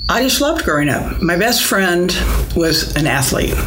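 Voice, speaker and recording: With an American accent, a woman is heard amid noticeable background noise and audible room echo. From US Midwest, Springfield, Illinois. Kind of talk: interview. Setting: convent.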